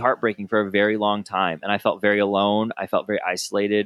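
A man with an unremarkable speaking voice, medium pitch and a fairly quick pace. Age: 30s. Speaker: podcast host, former pastor. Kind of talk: casual interview.

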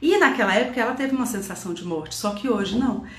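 Noticeable background noise and audible room echo surround the recording. A woman speaks with lively intonation. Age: 40s. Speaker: Enneagram teacher and mentor. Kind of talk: online class / lecture. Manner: casual, conversational with filler tags.

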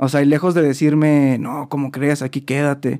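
On a very clean recording with a silent background, a man speaks in an ordinary speaking voice at a moderate pace, with fairly high pitch and fairly even intonation. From Mexico, San Luis Potosí. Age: 20s. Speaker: student and small business owner. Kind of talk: casual interview chat.

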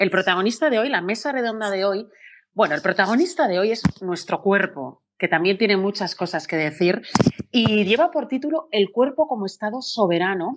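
A plain, everyday voice from a woman, medium in pitch, with lively intonation at a moderate pace. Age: 40s. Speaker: radio presenter and moderator. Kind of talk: panel moderation. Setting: live stream on social media.

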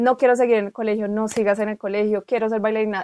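Delivery is very fast. The intonation stays monotone and flat. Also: woman, very clean recording, silent background. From Colombia, Bogotá. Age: 20s. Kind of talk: casual conversation.

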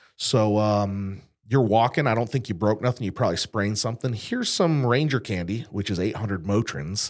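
A man in a plain, everyday voice, fairly low-pitched, fairly quick with hardly any pauses and ordinary pitch variation, on a very clean recording with a silent background. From western Massachusetts. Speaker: insurance agency owner, combat veteran. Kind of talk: interview conversation.

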